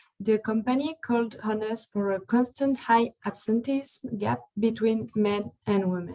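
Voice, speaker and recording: Speaking with a French accent, a woman delivers her words at a fairly slow pace with hardly any pauses, her fairly high voice somewhat breathy, dark and mellow, and her intonation fairly even. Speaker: psychologist. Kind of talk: webinar presentation.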